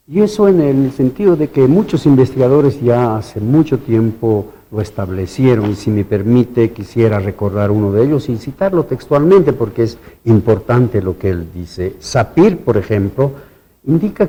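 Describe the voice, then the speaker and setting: Speaking with an Andean accent, a man keeps a moderate pace. His tone is dark, mellow and somewhat breathy, with very wide pitch swings. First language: Quechua (speaking Spanish). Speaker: university researcher. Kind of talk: TV interview.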